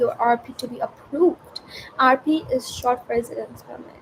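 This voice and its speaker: Against noticeable background noise, a woman talks in a high pitch with ordinary pitch variation. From India. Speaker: student vlogger. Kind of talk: casual unscripted vlog. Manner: slow; halting.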